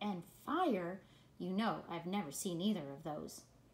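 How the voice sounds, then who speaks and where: A woman puts on a character voice, pitched fairly low. She talks at a fairly slow pace. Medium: read story. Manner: plaintive, wide-eyed.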